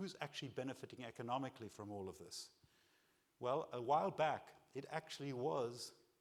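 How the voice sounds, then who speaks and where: A man's medium-pitched voice with vocal fry, lively intonation, a fairly quick pace and long, frequent pauses. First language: not English. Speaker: keynote speaker. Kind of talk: keynote speech. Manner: animated.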